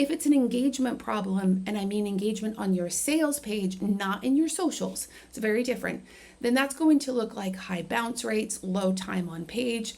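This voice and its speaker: A somewhat breathy woman's voice at a moderate pace with lively intonation. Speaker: marketing coach. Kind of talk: tutorial. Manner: casual with fillers.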